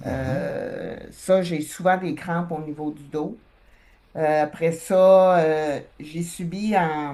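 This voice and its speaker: A woman with a Quebec accent, a dark, mellow tone and fairly low pitch, at a very slow pace with fairly even intonation. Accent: Québécois French. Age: 60s. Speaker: hypnosis client. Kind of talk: personal testimony. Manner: halting, many hesitations.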